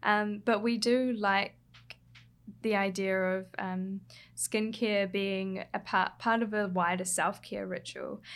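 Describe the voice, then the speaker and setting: A woman's medium-pitched monotone with flat intonation, in a New Zealand accent at a very slow pace, on a very clean recording with a silent background. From New Zealand, Hawke's Bay. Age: 20s. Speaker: skincare brand copywriter and writer. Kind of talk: interview.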